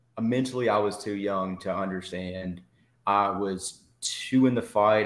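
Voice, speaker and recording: The speaker has an East Tennessee accent. The pace is moderate. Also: man. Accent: Southern US (East Tennessee). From Tennessee–Georgia state line, US South. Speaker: army veteran. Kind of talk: interview testimony.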